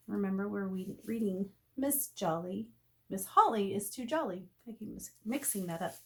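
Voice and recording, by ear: A woman at medium pitch and moderate pace, with lively intonation and a slightly husky edge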